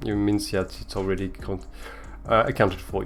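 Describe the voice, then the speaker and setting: Talking fairly quickly, a man speaks with a French accent. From France. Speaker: communications manager hosting a crypto giveaway show. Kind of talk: livestream show hosting. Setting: live stream on Twitter space and Twitch.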